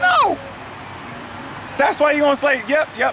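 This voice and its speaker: A man speaks over noticeable background noise. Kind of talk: street preaching, reading scripture and commenting. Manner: fervent, emphatic.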